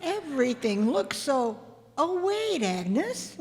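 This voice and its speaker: A woman's put-on character voice, high-pitched, with very wide pitch swings at a fairly slow pace. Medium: old radio play. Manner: gentle, sweet.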